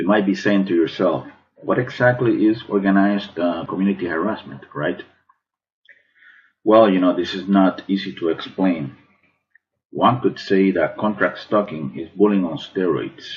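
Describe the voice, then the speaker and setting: This man has a normal speaking voice, fairly low in pitch, with ordinary pitch variation and a moderate pace. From Cuban American, Miami. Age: 40s. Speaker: artist. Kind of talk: prepared testimony to camera.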